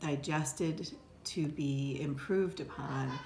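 With an American accent, a woman speaks at a very deep, low pitch, somewhat breathy, with ordinary pitch variation. Light background noise is present. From upstate New York. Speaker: law professor and dean. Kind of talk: interview monologue. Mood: earnest, reflective. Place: office. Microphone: phone near.

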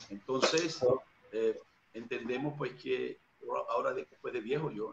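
A man speaks at a moderate pace. There is light background noise behind him. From Venezuela, Barcelona (Anzoátegui). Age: 40s. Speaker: evangelist preacher. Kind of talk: interview testimony. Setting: video call. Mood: reflective, earnest. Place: home room. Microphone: video call.

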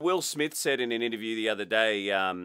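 In an Australian accent, a man speaks at a moderate pace. His tone is bright and sharp, and the background is quiet. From Australia (Queensland). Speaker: podcast host. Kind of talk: interview. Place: studio.

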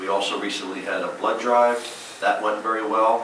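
A man speaks in a flat, monotone way with an American accent. The room echoes audibly, and background noise is noticeable. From US Northeast. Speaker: mayor chairing town council meeting. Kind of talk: public meeting proceedings. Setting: council chamber with audience. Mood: upbeat, informal. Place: hall.

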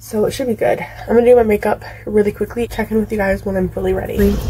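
A woman talking at a very fast pace over light background noise. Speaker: vlogger. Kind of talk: casual vlog chat. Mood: cheerful, excited. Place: home room. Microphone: phone near.

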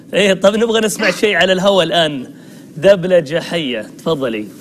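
A man speaks at a fast pace and a high pitch, with ordinary pitch variation. Faint background noise sits behind him.

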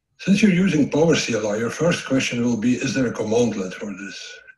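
Audible room echo surrounds a man who speaks at a fairly quick pace with lively intonation and a medium pitch. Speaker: systems engineer. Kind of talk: technical conference presentation. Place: home room.

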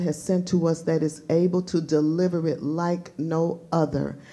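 Fairly low in pitch, a woman speaks at a fairly slow pace. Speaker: school chapel host. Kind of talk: speaker introduction. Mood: warm, enthusiastic. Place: hall. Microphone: camera far.

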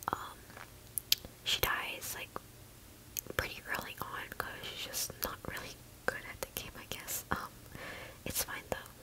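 Someone whispers at a fairly slow pace. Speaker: ASMR creator. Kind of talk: ASMR whispered gum chewing and rambling while playing a game. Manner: whispering, relaxing.

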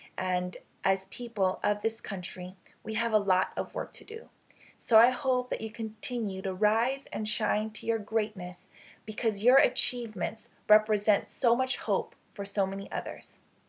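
Speaking at a moderate pace, this woman has a fairly high pitch. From United States (immigrated from the Philippines at about 10). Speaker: web series host and motivational speaker. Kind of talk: motivational address to camera. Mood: warm, upbeat, encouraging. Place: home room. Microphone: webcam.

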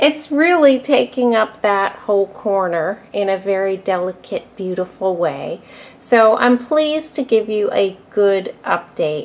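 At a very slow pace, a woman talks with lively intonation. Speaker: plant collector vlogger. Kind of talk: casual vlog chat. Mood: pleased, warm. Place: home room. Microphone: phone near.

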